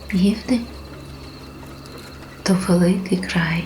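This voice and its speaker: Soft-spoken and very slow, with a gentle, calm tone over noticeable background noise. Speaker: sleep story narrator. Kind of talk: sleep story narration. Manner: soft, gentle, calm.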